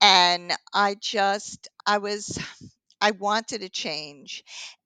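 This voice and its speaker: A woman with a New York accent, recorded dry and close with no echo against a quiet background. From Long Island, New York. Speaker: triathlon coach and author. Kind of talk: interview. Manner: animated.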